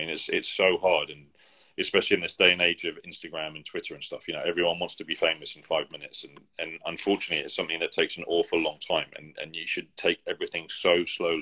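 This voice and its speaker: Speaking at a very fast pace with big swings in loudness, a man talks with a British accent. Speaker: opera singer. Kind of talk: casual interview chat. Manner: halting, many restarts.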